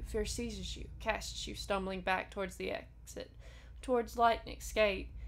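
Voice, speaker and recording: A woman with an American accent talks at a moderate tempo. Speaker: video game streamer. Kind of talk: reading game text aloud.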